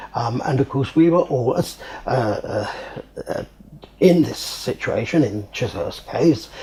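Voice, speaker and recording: A man talks at a fairly slow pace in a southern English accent. He leaves long, frequent pauses over noticeable background noise. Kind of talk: interview answer. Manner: hesitant.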